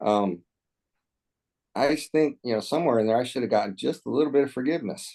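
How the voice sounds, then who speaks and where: A man with a medium pitch and a dark, mellow tone talks at a very fast pace with lively intonation and long, frequent pauses. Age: 60s. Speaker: political candidate, military veteran. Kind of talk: candidate interview. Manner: halting.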